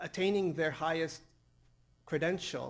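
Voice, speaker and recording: A man's voice with vocal fry. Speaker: academic researcher. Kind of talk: conference presentation. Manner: halting with many fillers.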